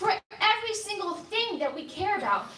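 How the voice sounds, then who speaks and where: A woman talks at a fairly quick pace in a raised, projected voice, her pitch swinging very widely as audible room echo surrounds her. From immigrant raised in Delaware County, Pennsylvania. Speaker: congressional candidate. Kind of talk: campaign debate opening statement.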